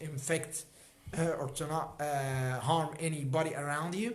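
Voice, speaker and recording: Audible room echo surrounds a man speaking at a fairly slow pace with a fairly high pitch. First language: Arabic. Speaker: health educator. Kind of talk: livestream talk. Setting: livestream. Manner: halting.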